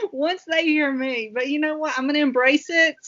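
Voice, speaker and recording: With a Southern US accent, a woman speaks at a fairly slow pace in a high pitch. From Southwest Virginia, US South. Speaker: military veteran. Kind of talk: casual chat.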